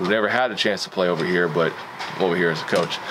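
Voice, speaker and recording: A man rattles off his words very fast while noticeable noise fills the background. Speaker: football coach vlogger. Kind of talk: casual vlog chat. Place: home room.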